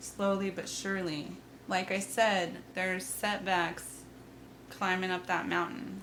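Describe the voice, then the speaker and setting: Her voice carrying vocal fry, a woman speaks fairly slowly with fairly even intonation and audible room echo. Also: medium pitch for a woman. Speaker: tarot reader. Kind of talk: tarot reading. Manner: casual, chatty.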